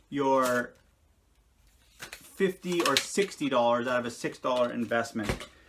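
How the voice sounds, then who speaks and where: A man's animated voice with ordinary pitch variation over noticeable background noise. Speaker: reseller showing garage sale finds. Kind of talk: casual video tutorial. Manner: loud, yelling.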